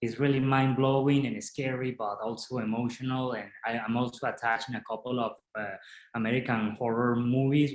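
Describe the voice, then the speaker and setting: A man speaks at a fairly quick pace with a Spanish accent. His intonation stays fairly even. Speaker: film director. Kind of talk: interview. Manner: halting, many repetitions.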